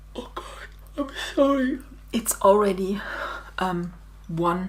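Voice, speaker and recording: Over noticeable background noise, a woman speaks with a German accent. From Germany. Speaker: digital scrapbooking designer. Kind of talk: tutorial. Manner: halting.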